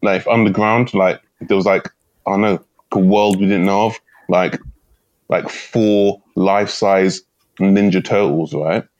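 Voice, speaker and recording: Speaking at a fairly slow pace with a London accent, a man with a fairly low pitch comes across in a dry, close sound with no echo. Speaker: comedian, podcast co-host. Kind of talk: casual chat. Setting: remote recording.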